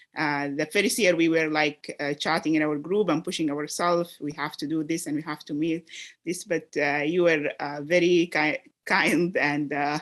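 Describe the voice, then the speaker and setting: A woman with an Arabic accent at a moderate pace, very deep and low in pitch, with fairly even intonation. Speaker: medical research fellow. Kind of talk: reflective remarks at graduation meeting. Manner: halting, many fillers.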